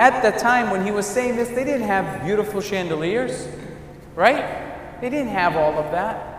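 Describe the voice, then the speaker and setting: Light background noise and audible room echo surround a man's voice. His pitch is high, with ordinary variation. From New England, US. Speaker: priest. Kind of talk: sermon. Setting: church. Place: church. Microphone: camera far.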